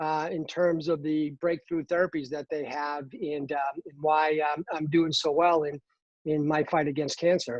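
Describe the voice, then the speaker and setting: A man with an American accent at a fairly high pitch. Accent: Boston, slight, stronger when excited. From Boston, Massachusetts. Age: 50s. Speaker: cancer patient and pharmaceutical employee. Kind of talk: podcast interview. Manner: halting, many fillers.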